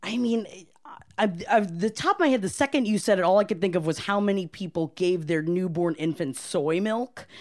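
With an American accent and a plain, everyday voice, the speaker talks at a fairly quick pace with lively intonation in a very clean recording with a silent background. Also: woman, medium pitch for a woman. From Florida, US. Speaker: restaurant manager. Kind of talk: casual chat.

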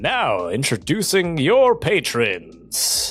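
With faint music in the background, a man does a put-on character voice at a high pitch and a very slow pace.

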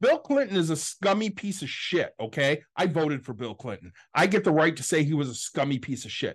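A plain, everyday voice moves at a fairly quick pace. The background is quiet. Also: man, fairly high pitch for a man. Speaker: podcast co-host. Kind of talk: casual political argument.

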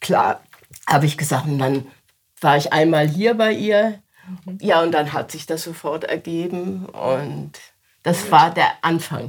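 Her loudness swings widely, with long, frequent pauses. The woman talks at a very slow pace and a fairly low pitch. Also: ordinary pitch variation. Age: 70s. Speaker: storyteller. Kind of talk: interview; storytelling. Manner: engaging.

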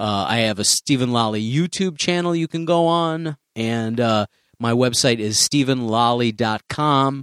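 In an American accent, a man with an ordinary speaking voice at medium pitch uses lively intonation, recorded very cleanly against a silent background with a dry, close sound and no echo. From US Midwest, Chicago. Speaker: stand-up comedian. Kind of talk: casual interview chat.

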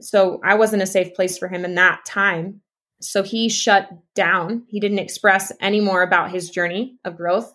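With an American accent, a woman speaks fairly slowly in a bright, sharp tone and a flat, monotone delivery. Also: medium pitch for a woman. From East Texas, US. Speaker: podcast guest, former teacher and nutrition coach. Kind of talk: casual interview chat.

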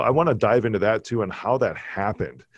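With an American accent, a man of medium pitch talks with ordinary pitch variation against a quiet background. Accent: slight Chicago accent, worked on reducing it. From Chicago, US Midwest. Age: 40s. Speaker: podcast host. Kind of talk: casual interview chat. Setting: video call. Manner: animated.

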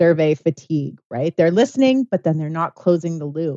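With an unremarkable speaking voice, a woman talks at a fairly low pitch with ordinary pitch variation. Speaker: co-host. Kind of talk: casual chat.

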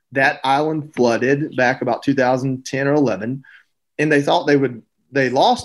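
A man with a Southern US accent and fairly high pitch, on a very clean recording with a silent background. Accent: Southern US (Georgia). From US South, Georgia. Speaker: retired Marine bomb technician and TV host. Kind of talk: interview.

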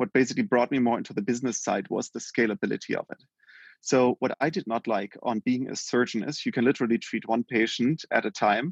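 A man with a German accent and a medium-pitched voice talks at a fairly quick pace with ordinary pitch variation, the sound dry and close with no echo and the background quiet. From Germany. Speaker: healthcare tech company founder. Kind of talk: interview.

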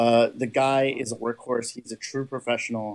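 A man speaks with a Californian accent. His pitch sits in the medium range. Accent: Californian American. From Southern California. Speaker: fan podcast host. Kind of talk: interview.

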